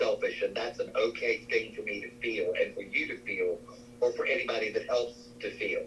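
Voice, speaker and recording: At a moderate pace, a man with an American accent talks over noticeable background noise. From US South, Spartanburg, South Carolina. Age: 70s. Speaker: psychic medium. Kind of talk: interview.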